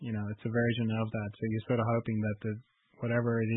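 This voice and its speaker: Man with an Irish accent, medium pitch, monotone, flat intonation and a fairly quick pace. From Ireland. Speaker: podcast host. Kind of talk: interview.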